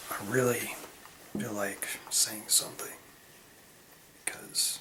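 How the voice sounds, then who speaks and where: A whispering man with an American accent at a very slow pace, amid audible room echo and noticeable background noise. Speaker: video blogger. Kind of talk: casual vlog monologue. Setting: bathroom at night. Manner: quiet, hushed; halting, many fillers.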